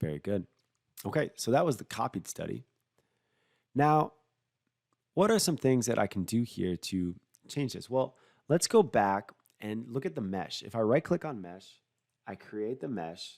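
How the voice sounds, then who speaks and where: A man's medium-pitched voice at a moderate pace, with very wide pitch swings and long, frequent pauses, in a very clean, silent recording with a dry, close sound and no echo. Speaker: software product specialist. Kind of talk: tutorial.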